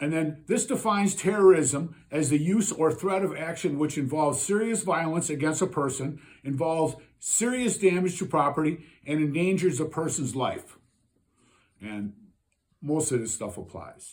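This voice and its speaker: A man with an American accent, fairly high in pitch, with lively intonation at a moderate pace. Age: 60s. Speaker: citizen vlogger. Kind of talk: monologue reading legal definitions. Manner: halting, with fillers.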